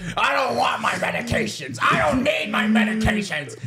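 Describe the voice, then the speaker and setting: A man shouts in a put-on character voice at a moderate pace. Loud background noise runs behind him. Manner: stubborn, refusing medication.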